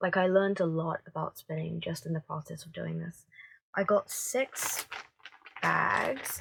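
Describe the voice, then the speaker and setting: Recorded dry and close with no echo, a woman speaks fairly slowly, with big swings in loudness. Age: 20s. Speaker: knitting podcaster, library worker. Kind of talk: casual chat. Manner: hesitant, many fillers. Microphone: phone recording.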